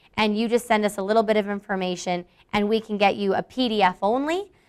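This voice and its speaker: A woman's fairly high voice at a very fast pace, in a very clean recording with a silent background. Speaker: marketing manager. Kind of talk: live product demo to staff.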